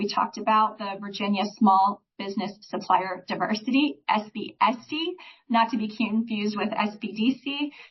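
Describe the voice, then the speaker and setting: Somewhat breathy, the woman's voice sits at a fairly high pitch. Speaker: small business advisor. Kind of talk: presentation.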